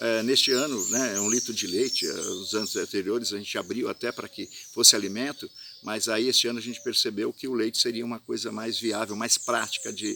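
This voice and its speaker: Noticeable background noise sits behind this recording. A man talks at a fairly quick pace with fairly even intonation. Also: medium pitch for a man. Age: 60s. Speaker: festival organizer. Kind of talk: video statement. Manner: hesitant, many fillers.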